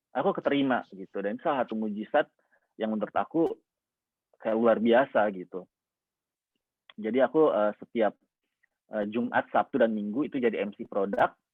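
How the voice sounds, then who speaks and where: A man speaks at a moderate pace with ordinary pitch variation and long, frequent pauses. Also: medium pitch for a man. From Indonesia, Makassar (South Sulawesi). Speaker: motivational speaker, scholarship awardee. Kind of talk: inspirational talk sharing personal story. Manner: casual, many fillers.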